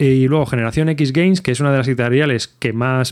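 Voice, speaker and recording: Talking at a fairly quick pace, a man has an unremarkable speaking voice with ordinary pitch variation. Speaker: podcast host. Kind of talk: casual chat. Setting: video call.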